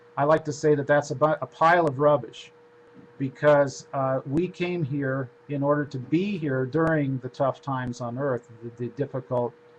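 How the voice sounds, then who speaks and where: Noticeable background noise accompanies a man's voice. It sits fairly high in pitch, with fairly even intonation. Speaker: spiritual lecturer and author. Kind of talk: lecture. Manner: fast.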